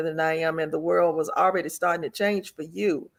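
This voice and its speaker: With a Southern US accent, a woman speaks at a fairly low pitch with ordinary pitch variation. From US South, Memphis, Tennessee. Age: 70s. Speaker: retired teacher, expat. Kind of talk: casual interview.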